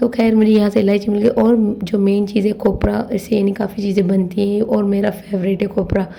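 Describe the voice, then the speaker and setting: A woman's medium-pitched voice, monotone and flat, at a moderate pace with hardly any pauses and very even loudness, over noticeable background noise. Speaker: vlogger. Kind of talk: shopping vlog. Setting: grocery store.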